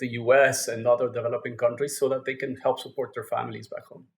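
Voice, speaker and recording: This man speaks with a Mexican accent. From Mexico. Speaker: fintech company founder. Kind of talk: podcast interview. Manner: halting, repeats words.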